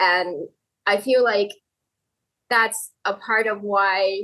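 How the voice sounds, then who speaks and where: Speaking very slowly with a Thai accent, a woman uses a bright, sharp tone at a fairly high pitch and fairly even intonation. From Thailand. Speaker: novelist. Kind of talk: casual chat.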